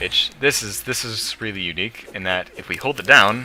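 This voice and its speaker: A man's voice against noticeable background noise. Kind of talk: let's play commentary. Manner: fast.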